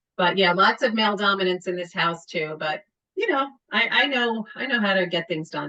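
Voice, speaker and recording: A woman with a Long Island accent talks with lively intonation. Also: medium pitch for a woman, moderate pace. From Long Island, New York. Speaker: sales manager. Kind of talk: casual interview chat.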